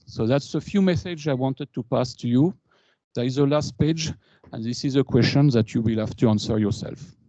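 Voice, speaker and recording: With a French accent, a man speaks at medium pitch and a fairly quick pace in a dark, mellow tone with ordinary pitch variation, the sound dry and close with no echo against a quiet background. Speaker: engineer and alumni speaker. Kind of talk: conference talk. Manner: halting.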